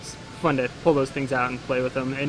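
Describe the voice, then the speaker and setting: Noticeable background noise sits behind this man. He speaks at a medium pitch and a fairly quick pace. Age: 20s. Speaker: yeast lab owner. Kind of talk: casual chat.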